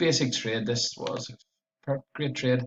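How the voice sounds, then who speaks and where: With a strong Belfast accent, a man speaks at a medium pitch and with fairly even intonation. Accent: strong Northern Irish (Belfast). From Northern Ireland, Belfast area. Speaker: forex trader. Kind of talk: trading recap and chart analysis. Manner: tends to speak fast.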